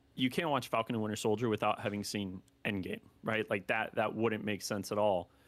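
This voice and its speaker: A man with a normal speaking voice at a medium pitch and moderate pace, in a very clean recording with a silent background. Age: 20s. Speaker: anime content creator. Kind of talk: casual chat.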